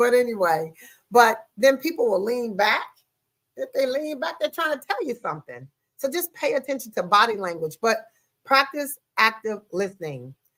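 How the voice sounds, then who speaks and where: Loud and animated, a woman speaks at a moderate pace in a high pitch, with very wide pitch swings. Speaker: podcast host. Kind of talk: podcast monologue on relationships.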